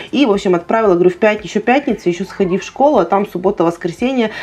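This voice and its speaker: Talking at a very fast pace, a woman keeps her loudness very even. Her pitch varies in an ordinary way. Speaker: family vlogger. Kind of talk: casual vlog chat. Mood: storytelling, mildly exasperated. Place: home room. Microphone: lapel.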